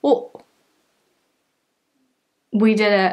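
With a British accent, a woman speaks very slowly at a fairly high pitch with monotone, flat intonation against a quiet background. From United Kingdom. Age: young. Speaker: YouTuber. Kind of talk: casual talk to camera. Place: home room. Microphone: phone near.

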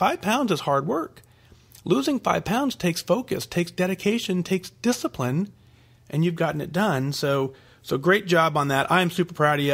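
A man's unremarkable speaking voice at a moderate pace, with ordinary pitch variation in a very clean recording with a silent background. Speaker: weight-loss podcast host. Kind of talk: solo podcast, reading and answering listener emails.

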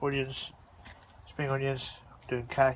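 A man is speaking. The sound is dry with no echo, over light background noise. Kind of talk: casual vlog chat. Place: garden. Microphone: phone near.

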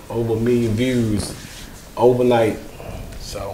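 With a rural Mississippi accent, a man talks at a moderate pace amid light background noise and audible room echo. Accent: rural Mississippi Southern US. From Mississippi, US South. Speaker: comedian. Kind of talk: casual interview. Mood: relaxed, friendly. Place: studio. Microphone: lapel.

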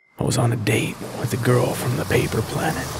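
A man puts on a raspy character voice at medium pitch. He talks at a fairly slow pace. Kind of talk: reflective sci-fi audio drama narration. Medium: audio drama. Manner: wistful, matter-of-fact, quietly hopeful.

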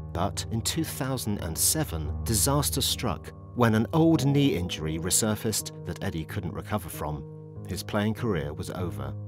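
With music in the background, a man with a very deep, low pitch speaks at a moderate pace, his pitch swinging very widely. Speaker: documentary narrator. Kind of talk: documentary narration.

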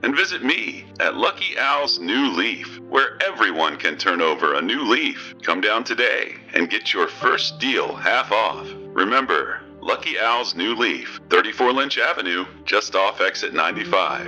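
A man puts on a character voice, fairly low in pitch yet bright and sharp in tone, swinging widely in pitch at a fairly slow pace with few pauses while faint music plays behind.

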